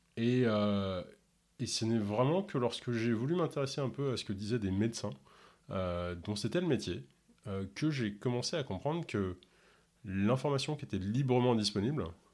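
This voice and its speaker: In a very clean recording with a silent background, a man talks at a fairly slow pace and a medium pitch. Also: lively intonation. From Ontario, Canada. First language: English (speaking French). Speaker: podcast host and health coach. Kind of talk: interview. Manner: hesitant, many filler words.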